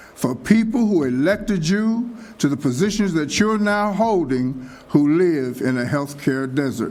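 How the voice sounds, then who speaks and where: Heard with audible room echo, a man's high voice moves at a fairly slow pace with very wide pitch swings. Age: 70s. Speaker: pastor and public commenter. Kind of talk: public comment at city meeting. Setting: city commission meeting.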